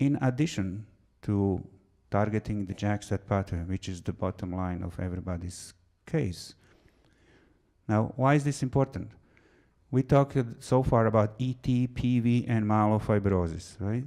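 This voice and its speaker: Speaking at a moderate pace with a non-native accent, a man with a fairly low pitch and a dark, mellow tone uses ordinary pitch variation and long, frequent pauses, on a very clean recording with a silent background. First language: not English. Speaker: physician and researcher. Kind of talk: lecture.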